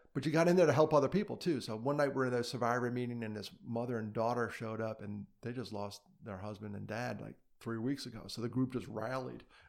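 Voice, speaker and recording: Speaking at a very fast pace, a man uses a medium pitch with ordinary pitch variation and big swings in loudness. The recording is very clean, with a silent background. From New York City (Brooklyn). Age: 50s. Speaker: suicide prevention advocate. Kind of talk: interview, personal story.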